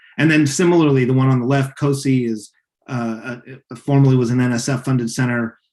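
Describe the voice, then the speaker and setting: A man with a medium pitch moves at a fairly brisk clip, his pitch varying in an ordinary way. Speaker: science communication instructor. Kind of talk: webinar lecture. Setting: video call webinar. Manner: fast; casual, many fillers.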